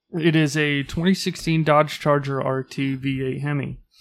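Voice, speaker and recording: Recorded very cleanly with a silent background, a man has a plain, everyday voice with a fairly high pitch and fairly even intonation. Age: 30s. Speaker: podcast co-host. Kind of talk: casual chat.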